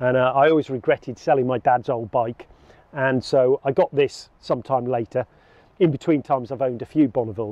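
A man talks at a fairly quick pace with fairly even intonation. The sound is dry, with no echo. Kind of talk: interview answer. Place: waterside.

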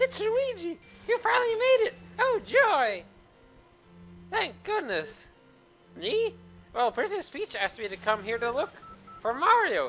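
A squeaky, put-on character voice at an extremely high pitch speaks fairly slowly, with faint music in the background. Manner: panicked, excited.

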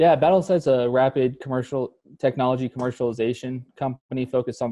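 A man talks at a very fast pace. His intonation is fairly even, and the background is quiet. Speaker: startup founder and army veteran. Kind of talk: interview. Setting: call. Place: home room. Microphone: video call.

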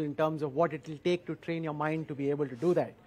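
The speaker is a man who talks at a fairly quick pace. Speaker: event host, interviewer. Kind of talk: speaker introduction. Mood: warm, admiring, light laughs. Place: hall. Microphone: headset.

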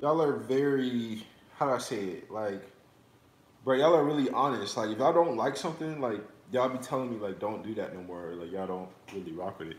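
Very fast man's voice with big swings in loudness and audible room echo. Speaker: livestreamer. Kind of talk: casual livestream chat. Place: kitchen. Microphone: phone near.

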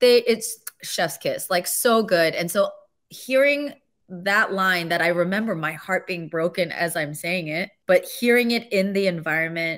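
Against a quiet background, a woman speaks in an enthusiastic tone at a fairly slow pace with ordinary pitch variation. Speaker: voice actor. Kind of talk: interview answer. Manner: emotional, enthusiastic. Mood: emotional, tearful, laughing. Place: home room. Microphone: studio mic.

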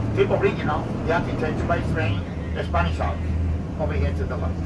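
The man's delivery comes at a very fast pace over loud background noise. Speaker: tour bus driver guide. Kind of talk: tour guide commentary. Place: bus. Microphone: headset.

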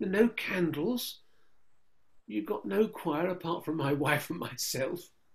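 A man with an English accent at a fairly slow pace, with lively intonation. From England. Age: 70s. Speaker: Orthodox priest. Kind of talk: conversational Q&A with prayers. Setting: video call.

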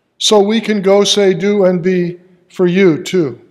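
Against a quiet background, a man speaks at a high pitch. He keeps his intonation fairly even. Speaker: pastor. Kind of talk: sermon. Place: church.

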